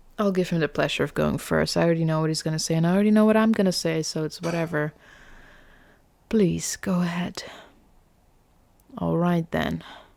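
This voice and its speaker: With a non-native accent, a woman speaks at a fairly quick pace and a fairly low pitch, her intonation fairly even, with long, frequent pauses on a very clean recording with a silent background. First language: not English. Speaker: gaming streamer. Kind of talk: let's play commentary. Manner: casual, conversational.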